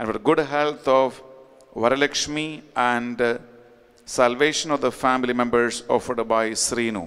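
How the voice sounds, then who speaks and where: Music plays in the background as a man speaks at a medium pitch. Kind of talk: fervent sermon with repeated exhortations to confess sins. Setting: online Mass, recorded. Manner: emphatic, pleading, repetitive; animated, urgent. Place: church. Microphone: podium.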